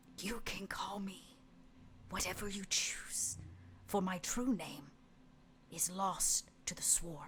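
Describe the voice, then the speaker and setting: A female-sounding, put-on character voice comes through raspy at medium pitch. It moves at a fairly slow pace with long, frequent pauses. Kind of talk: archaic, solemn. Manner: ominous, dark.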